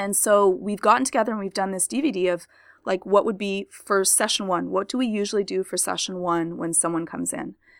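With an unremarkable speaking voice, a woman talks at medium pitch and a fairly quick pace, with ordinary pitch variation. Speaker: podcaster and tech editor. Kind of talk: casual chat. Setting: video call.

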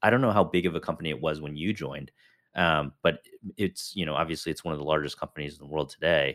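The voice moves at a very fast pace with a Midwestern American accent. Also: man. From northern suburbs of Chicago. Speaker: podcast host, military veteran. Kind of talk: interview. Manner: casual, filler-heavy.

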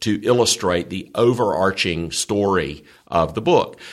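The speaker has a Southern US accent and very wide pitch swings. The recording is very clean, with a silent background. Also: man. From US South. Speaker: seminary chancellor and theology professor. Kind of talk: conversational Bible teaching interview.

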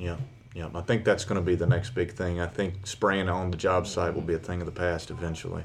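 With vocal fry and little pitch movement, a man with a low pitch talks at a fairly quick pace.

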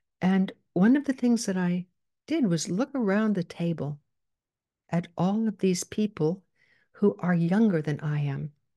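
Somewhat breathy and dark, mellow in tone, a woman speaks at a fairly slow pace with lively intonation and long, frequent pauses, in a dry, close sound with no echo over a quiet background. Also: medium pitch for a woman. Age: 80s+. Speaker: psychologist and coach podcast host. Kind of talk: solo podcast monologue. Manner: conversational, direct address to listeners.

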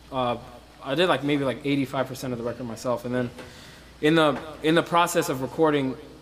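There is noticeable background noise. A man speaks with ordinary pitch variation. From Sudan. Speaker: musician and bandleader. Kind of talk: interview. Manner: halting.

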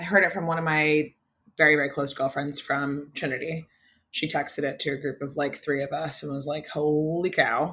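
With an American accent, a woman speaks at a moderate pace and a very deep, low pitch, her tone bright and sharp and her intonation fairly even, on a very clean recording with a silent background. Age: 20s. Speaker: chef and food content creator. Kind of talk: casual chat.

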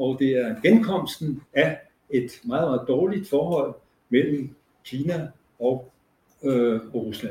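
This man has a dark, mellow, somewhat breathy voice with a fairly high pitch and lively intonation. His pace is very slow, broken by long, frequent pauses. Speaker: professor emeritus. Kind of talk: panel presentation; panel discussion.

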